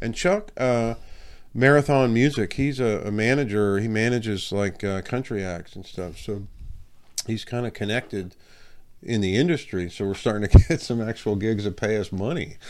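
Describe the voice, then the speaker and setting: A man at medium pitch uses an ordinary speaking voice, talking at a moderate pace with ordinary pitch variation in a very clean recording with a silent background. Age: 50s. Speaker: rock guitarist. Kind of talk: casual interview chat.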